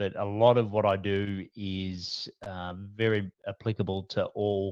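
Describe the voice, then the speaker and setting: In an Australian accent, a man speaks flatly and without variation at a very deep, low pitch, with a dry, close sound with no echo and a quiet background. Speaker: business coach. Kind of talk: interview. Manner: casual, many fillers.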